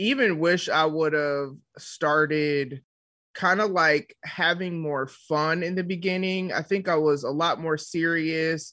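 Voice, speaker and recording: A woman with a fairly low pitch talks at a fairly slow pace in an animated tone that is bright and sharp. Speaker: entrepreneur and podcaster. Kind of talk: casual interview chat. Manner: animated, frequent laughter.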